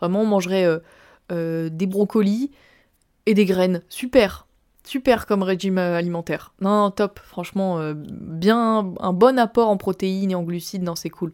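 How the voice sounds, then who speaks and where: The recording is very clean, the background silent. In it, a woman talks at a medium pitch, varying it in an ordinary way. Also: fairly slow pace. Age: 20s. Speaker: podcaster. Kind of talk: personal testimony monologue. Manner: casual, animated.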